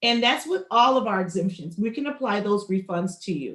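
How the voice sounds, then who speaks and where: Her intonation is lively. This woman has a normal speaking voice. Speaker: county assessor's office outreach speaker. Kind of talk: public information presentation.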